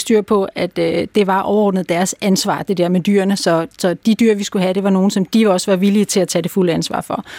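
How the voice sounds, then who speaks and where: A woman's dark, mellow voice, fairly quick and nearly pause-free, with fairly even intonation and a dry, close sound lacking echo. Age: 50s. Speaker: dog behaviour consultant. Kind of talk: interview. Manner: hesitant, many fillers.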